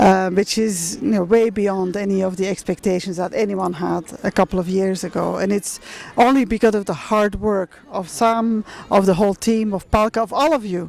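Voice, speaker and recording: This woman's voice sits at a medium pitch with ordinary pitch variation. She talks at a moderate pace. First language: not English. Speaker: museum representative returning cultural objects. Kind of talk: public talk at a meeting. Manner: halting.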